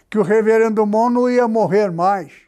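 Speaking at a fairly slow pace with fairly even intonation, a man with a high pitch and a dark, mellow tone is heard with audible room echo. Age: 80s+. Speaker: pastor. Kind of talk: sermon.

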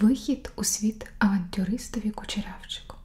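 Very slow pace from a woman's speech. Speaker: ASMR creator reading a story aloud. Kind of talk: bedtime story reading for sleep. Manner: whispered, soft, slow. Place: home room.

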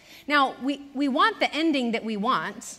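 A woman speaks with a high-pitched voice at a fairly slow pace. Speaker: preacher. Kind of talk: sermon. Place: church.

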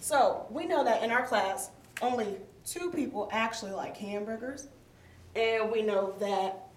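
A woman speaks at a fairly slow pace with ordinary pitch variation. Light background noise and audible room echo surround her. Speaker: teacher. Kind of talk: lesson to class. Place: classroom. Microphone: camera far.

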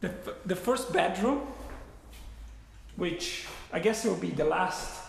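A man's voice at a moderate pace with ordinary pitch variation and audible room echo. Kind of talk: live property tour commentary. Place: home room. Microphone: phone near.

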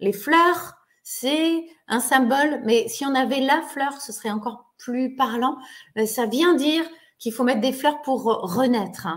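Against a quiet background, a woman talks in a warm tone at a high pitch and a very slow pace. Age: 40s. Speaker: online therapist and trainer; trainer. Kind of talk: webinar lecture to an online audience. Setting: video call webinar. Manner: warm, friendly, conversational. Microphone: webcam.

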